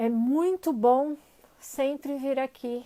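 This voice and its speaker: This woman's voice shows ordinary pitch variation. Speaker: remote secretarial work trainer. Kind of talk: live stream chat. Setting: Instagram live stream.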